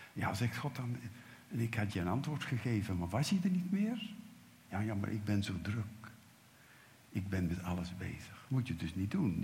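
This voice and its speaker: With lively intonation and a somewhat breathy quality, a man speaks at a moderate pace in a fairly low voice, with audible room echo around him. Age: 70s. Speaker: preacher. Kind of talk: sermon.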